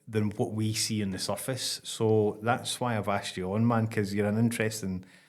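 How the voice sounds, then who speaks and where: Intonation stays fairly even as a man with a Scottish accent talks at a moderate pace and a fairly low pitch. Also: hardly any pauses. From Scotland. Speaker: podcast host. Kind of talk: casual interview chat.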